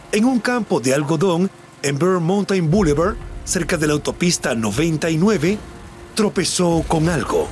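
Over music in the background, a man with a high pitch speaks at a fairly slow pace in a solemn tone, his intonation lively. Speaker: true crime narrator. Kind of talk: true-crime narration, scripted documentary-style retelling of a case. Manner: solemn, measured, somber storytelling tone; even and formal, steady pace.

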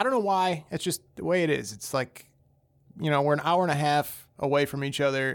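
A man's ordinary speaking voice, fairly high in pitch, at a fairly quick pace with ordinary pitch variation. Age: 30s. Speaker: podcast guest discussing sports. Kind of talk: casual chat.

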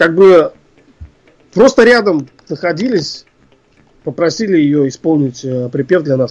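A man speaks fairly slowly in a fairly high voice. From Russia, Ufa (Bashkortostan). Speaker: composer and arranger. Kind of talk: interview. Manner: hesitant, many filler sounds.

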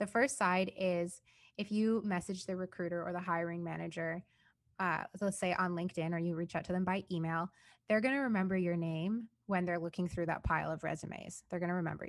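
A woman's unremarkable speaking voice, fairly low in pitch, fairly quick, and fairly even in intonation, on a very clean recording with a silent background. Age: 20s. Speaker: software consultant and work vlogger. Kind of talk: casual interview chat. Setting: podcast recording with a mic.

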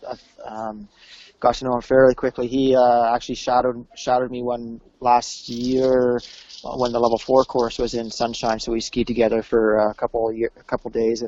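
A man in a Western Canadian accent, medium in pitch, at a moderate pace. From British Columbia, Canada. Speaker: ski instructor. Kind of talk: casual interview.

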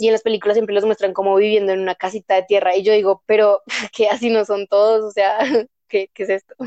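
Over a dry, close sound with no echo, a woman of medium pitch talks at a very fast pace in a dark, mellow tone with monotone, flat intonation. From Bogotá, Colombia. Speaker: guest. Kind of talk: casual chat.

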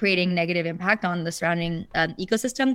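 An unremarkable speaking voice from a woman, medium in pitch with fairly even intonation, on a very clean recording with a silent background. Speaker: ocean conservation nonprofit program director. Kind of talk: interview answers.

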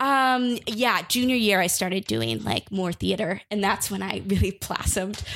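In an unremarkable speaking voice, a woman at a medium pitch talks at a moderate pace with lively intonation and hardly any pauses. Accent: American. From US Midwest (northern suburb of Chicago). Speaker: comedian. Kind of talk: casual chat.

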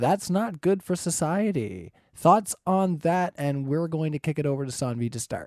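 An ordinary speaking voice with a Canadian accent moves at a moderate pace with lively intonation and hardly any pauses, recorded dry and close with no echo against a quiet background. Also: man, fairly high pitch for a man. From Canada. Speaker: debate moderator. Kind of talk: moderating a debate.

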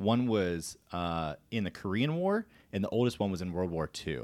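Very deep, low pitch from a man with an American accent and ordinary pitch variation, on a very clean recording against a silent background. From Florida. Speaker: military podcast host, air force NCO. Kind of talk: casual interview. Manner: fast.

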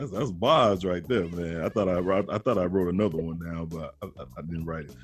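A man with a very deep, low voice speaks at a fairly quick pace with hardly any pauses. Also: ordinary pitch variation. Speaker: podcast and radio host. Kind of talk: casual chat. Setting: studio. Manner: animated.

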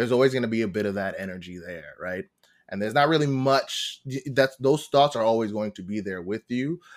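A man with a New York accent speaks at a fairly quick pace and medium pitch, his lively intonation and big swings in loudness captured on a very clean recording with a silent background. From New York, Long Island. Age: 20s. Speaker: actor and Twitch streamer. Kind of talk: casual chat.

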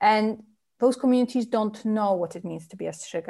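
A woman speaks with a Polish accent. The recording is very clean, with a silent background. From Poland. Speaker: novelist. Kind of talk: interview.

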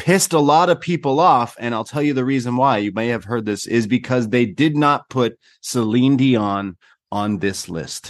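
With a Canadian accent, a man speaks at a moderate pace with lively intonation, a plain, everyday voice over a quiet background. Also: medium pitch for a man. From Canada. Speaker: podcast host. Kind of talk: casual chat. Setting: video call.

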